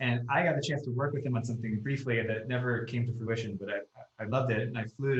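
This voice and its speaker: The voice is somewhat breathy, with fairly even intonation. It moves at a fairly quick pace. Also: man. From US Northeast, Long Island NY. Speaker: screenwriter. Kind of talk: casual podcast chat.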